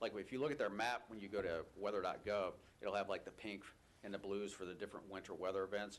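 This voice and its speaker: A man at a very fast pace, fairly low in pitch, with fairly even intonation. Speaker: state air quality official. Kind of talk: public hearing testimony.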